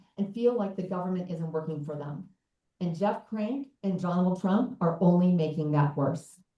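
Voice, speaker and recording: Speaking with an American accent, a woman has a dark, mellow tone, somewhat breathy, at medium pitch with ordinary variation and a moderate pace. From southern Colorado. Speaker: congressional candidate. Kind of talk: campaign speech at a town hall.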